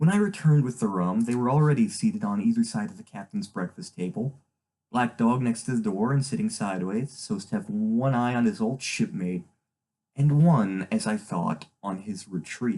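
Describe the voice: A man with a dark, mellow tone and fairly low pitch, at a moderate pace with ordinary pitch variation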